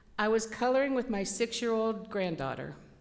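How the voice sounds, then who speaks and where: A woman speaks. There is audible echo in the room. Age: 60s. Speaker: spiritualist lecturer. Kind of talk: sermon. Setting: church. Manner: loud.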